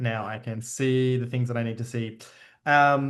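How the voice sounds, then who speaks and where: In a normal speaking voice, a man talks at a fairly slow pace with medium pitch and fairly even intonation. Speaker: media artist and educator. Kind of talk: online presentation. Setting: video call.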